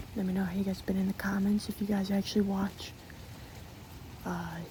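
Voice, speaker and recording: Someone is whispering. The pace is fairly quick. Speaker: ASMR creator. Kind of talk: ASMR casual chat. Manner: repetitive, rambling filler speech.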